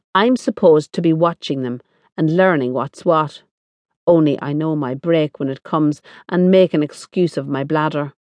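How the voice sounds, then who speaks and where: With an Irish accent, a woman speaks at a moderate pace. Her pitch is very deep and low. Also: ordinary pitch variation. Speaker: audiobook narrator. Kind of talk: dramatic first-person audiobook narration of a novel. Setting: studio. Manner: intimate, confiding, voicing an Irish working-class woman; expressive, wry, with sly asides and tender indignation.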